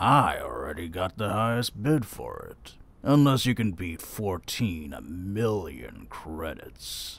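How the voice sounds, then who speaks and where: A man talks at a fairly slow pace, his loudness swinging widely. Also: fairly low pitch for a man. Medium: audio drama. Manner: gruff, smug, menacing.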